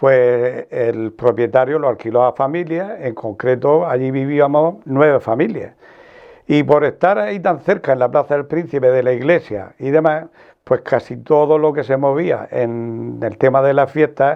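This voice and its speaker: With a normal speaking voice, a man talks at a fairly slow pace in a fairly high pitch with ordinary pitch variation. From Archena, Murcia, Spain. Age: 60s. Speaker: journalist. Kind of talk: interview reminiscence.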